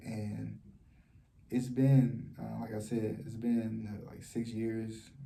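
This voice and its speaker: Soft-spoken and somewhat breathy, a man talks with a fairly low pitch and a dark, mellow tone amid audible room echo. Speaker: vlogger. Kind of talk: personal testimony vlog. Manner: soft-spoken, talking low; halting, many fillers and repetitions.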